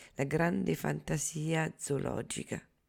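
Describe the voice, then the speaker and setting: Over a very clean recording with a silent background, a woman speaks at a fairly slow pace with very deep, low pitch and vocal fry. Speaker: radio host. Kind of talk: radio announcement, scripted programme introduction. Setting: radio studio broadcast. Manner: formal, measured, even-paced.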